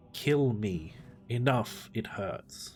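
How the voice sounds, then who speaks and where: A man puts on a croaky character voice. It sits at a medium pitch. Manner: croaking through clenched teeth.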